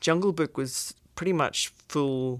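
The recording is very clean, and the background is silent. On it, a woman talks very slowly. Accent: British. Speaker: visual effects executive. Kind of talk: casual interview.

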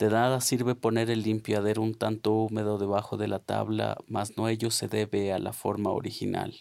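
The speech is monotone, with flat intonation, a moderate pace and hardly any pauses. The recording is very clean, with a silent background. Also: man, fairly low pitch for a man. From Colombia, Nariño. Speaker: poet. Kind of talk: poetry reading.

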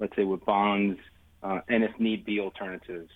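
A man with an American accent speaks at a fairly quick pace in a fairly low pitch, his intonation monotone and flat. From New York City (Astoria, Queens). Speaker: investment firm founder. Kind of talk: interview. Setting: studio.

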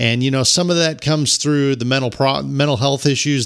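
Recorded very cleanly with a silent background, a man speaks at a medium pitch. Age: 40s. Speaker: podcast host giving career advice. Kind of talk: solo podcast monologue. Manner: halting with frequent fillers and restarts.

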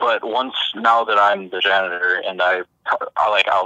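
Medium in pitch and moderate in pace, this man has an unremarkable speaking voice. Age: 20s. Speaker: janitor. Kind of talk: casual chat. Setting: phone call.

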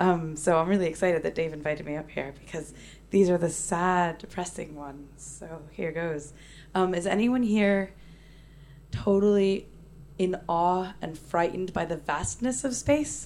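A woman with a fairly low pitch speaks in a normal speaking voice at a moderate pace with ordinary pitch variation. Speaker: poet and performer. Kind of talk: stage poetry performance. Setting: stage with audience.

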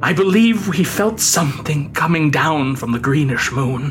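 A man's fairly high voice at a fairly slow pace, solemn and dramatic in tone, with very wide pitch swings and noticeable background noise. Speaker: audiobook narrator. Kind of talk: scripted horror story narration, read aloud in a dramatic gothic style. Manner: slow, deliberate and ominous, with dramatic pacing; hushed, building dread, solemn.

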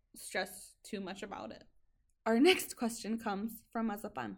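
A woman speaks at a fairly slow pace and a medium pitch, with fairly even intonation and vocal fry. Her loudness swings widely. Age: 20s. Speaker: podcast host. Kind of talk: casual chat.

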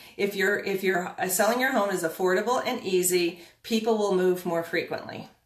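Audible room echo surrounds a woman speaking at a medium pitch with monotone, flat intonation. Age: 50s. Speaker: real estate coach. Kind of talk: live-streamed talk. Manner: hesitant, filler-heavy.

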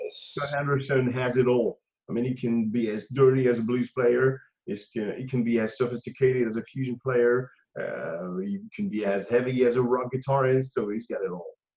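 A man with a French accent speaks at a moderate pace and medium pitch, with ordinary pitch variation. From France. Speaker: guitarist. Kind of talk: interview. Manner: halting.

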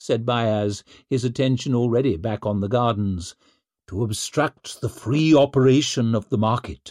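Quiet surroundings and plain reading aloud

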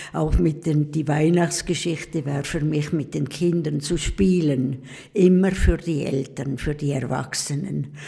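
A woman speaks at a fairly slow pace in a very deep, low pitch. Noticeable background noise runs underneath. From eastern Switzerland (Pfäfers, St. Gallen). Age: 80s+. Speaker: nun. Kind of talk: casual interview. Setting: convent.

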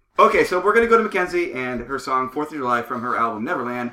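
A man is speaking. His pitch swings very widely. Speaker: podcast host. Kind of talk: casual interview chat. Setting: studio.

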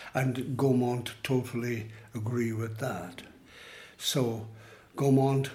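A man's somewhat breathy, dark, mellow voice in an Irish accent, medium in pitch, fairly even in intonation, at a very slow pace with audible room echo. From Ireland. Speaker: writer. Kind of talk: casual chat. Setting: outdoors.

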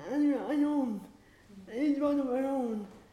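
Audible room echo surrounds a woman whose high pitch carries a dark, mellow tone. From Ireland. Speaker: playwright and activist. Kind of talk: panel discussion.

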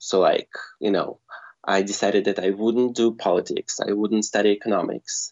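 A man is speaking. He has a Russian accent. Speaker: screenwriter. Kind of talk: casual interview chat. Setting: phone call.

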